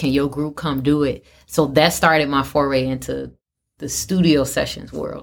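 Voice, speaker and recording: A woman speaks with a very deep, low pitch and vocal fry. Her pace is moderate. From South Side of Chicago. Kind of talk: interview conversation.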